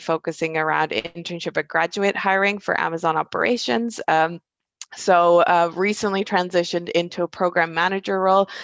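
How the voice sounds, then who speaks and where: A woman with an American accent, fairly low in pitch with ordinary variation, at a moderate pace in a dry, close sound with no echo. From Germany. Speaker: recruitment program manager. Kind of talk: panel discussion.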